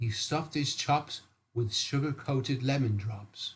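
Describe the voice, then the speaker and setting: With a British accent, a man speaks in a fairly high, somewhat breathy voice with lively intonation. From England. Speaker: storyteller. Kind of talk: bedtime story reading.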